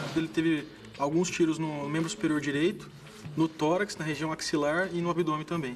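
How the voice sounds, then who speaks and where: Against noticeable background noise, a man talks fairly quickly at a fairly high pitch with fairly even intonation. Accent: inland Brazilian. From interior of Brazil. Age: 20s. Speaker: medical resident. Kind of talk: interview testimony.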